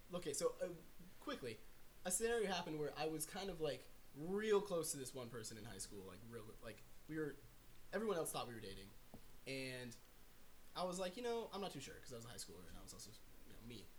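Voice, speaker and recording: The voice races at a very fast pace yet has long, frequent pauses. Its pitch swings very widely and its loudness rises and falls sharply. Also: man, fairly high pitch for a man. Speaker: guest. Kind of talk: casual chat.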